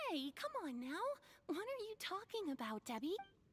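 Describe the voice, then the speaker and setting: A put-on character voice, squeaky and extremely high in pitch, moves at a moderate pace. Its pitch swings very wide. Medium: video game. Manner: eager, interrupting.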